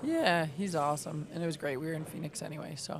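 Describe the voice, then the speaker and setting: A woman speaking at a fairly quick pace, ordinary pitch variation, noticeable background noise. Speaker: pool stream commentator. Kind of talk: casual commentary chat. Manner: loud.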